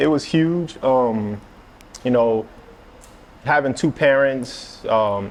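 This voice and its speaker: Speaking at a very slow pace with long, frequent pauses and very even loudness, the voice carries a slight New Orleans accent. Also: man, medium pitch for a man, ordinary pitch variation. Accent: little New Orleans. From New Orleans East, Louisiana. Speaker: streetwear figure and chef. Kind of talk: interview. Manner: halting, many fillers.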